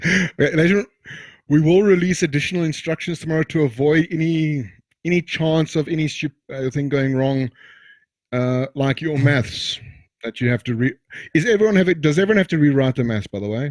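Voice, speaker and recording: Fairly quick and fairly high-pitched, a man speaks in a plain, everyday voice with ordinary pitch variation and a dry, close sound with no echo. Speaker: tutor. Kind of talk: tutorial.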